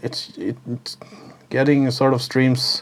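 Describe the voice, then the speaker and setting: Talking at a fairly slow pace, a man is heard over noticeable background noise. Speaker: music producer and YouTuber. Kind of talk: casual vlog talk to camera. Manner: halting, many filler uhs.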